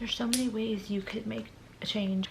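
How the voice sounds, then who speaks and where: A woman speaks with an American accent. Noticeable noise sits in the background. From California, Stockton. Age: 20s. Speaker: lifestyle vlogger. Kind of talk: tutorial. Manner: casual.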